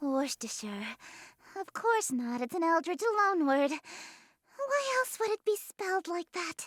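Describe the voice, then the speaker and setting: In a put-on character voice, a female-sounding speaker goes extremely high for a woman, swinging very widely in pitch at a fairly slow pace. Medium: game stream. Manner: haughty, teasing.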